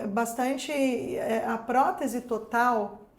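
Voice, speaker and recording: Audible room echo surrounds a woman with a high pitch. She speaks at a very slow pace. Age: 50s. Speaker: dental prosthesis technician and teacher. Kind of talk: casual chat.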